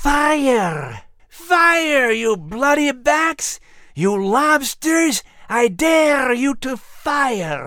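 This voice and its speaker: A female-sounding voice speaks in a put-on character voice at a high pitch. The pace is very slow. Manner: screaming.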